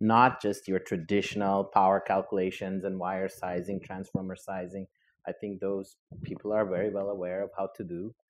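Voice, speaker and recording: At a moderate pace, a man talks in a fairly low pitch with monotone, flat intonation. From Brazil. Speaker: engineering professor. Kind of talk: panel discussion. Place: hall. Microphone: lapel.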